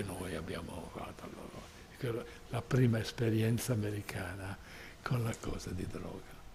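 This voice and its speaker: A man speaks at a fairly slow pace in a fairly low pitch. The room echo is audible and background noise is noticeable. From Sardinia, Porto Torres and Sassari. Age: 80s+. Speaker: invited speaker at a tourism conference. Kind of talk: personal storytelling at a conference. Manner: halting.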